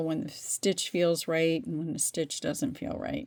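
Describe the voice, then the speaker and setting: A woman speaks with vocal fry. Her intonation is lively. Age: 60s. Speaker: crochet instructor. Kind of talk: tutorial. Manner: casual, conversational.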